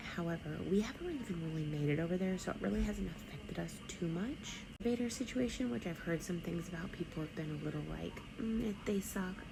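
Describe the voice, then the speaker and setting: A soft-spoken woman with a fairly low pitch talks at a fairly quick pace with hardly any pauses. Noticeable background noise and audible room echo surround her voice. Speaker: travel vlogger. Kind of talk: casual vlog review. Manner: soft-spoken, talking low; many filler ums.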